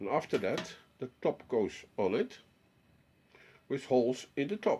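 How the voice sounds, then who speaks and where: A man with a Dutch accent talks at a fairly slow pace in a dark, mellow tone, his medium pitch moving in very wide swings. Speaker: DIY hobbyist. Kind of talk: tutorial. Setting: home workshop. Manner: halting.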